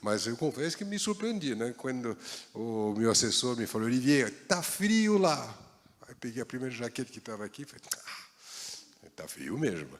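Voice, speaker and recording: A medium-pitched man with a French accent, a moderate pace, very wide pitch swings, big swings in loudness and noticeable background noise. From France, Paris. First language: French (speaking Portuguese). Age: 60s. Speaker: baker. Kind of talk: talk to an audience.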